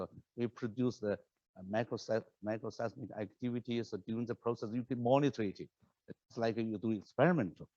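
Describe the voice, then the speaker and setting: A man with a non-native accent speaks at a moderate pace in a medium pitch, the sound dry and close with no echo. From China. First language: Chinese. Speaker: professor. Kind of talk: lecture. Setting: lecture hall with online audience. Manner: halting, many repetitions and fillers.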